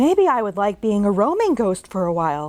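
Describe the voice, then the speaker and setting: A woman speaks in a put-on character voice. Her pitch sits in the medium range and her pace is fairly quick. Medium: read story.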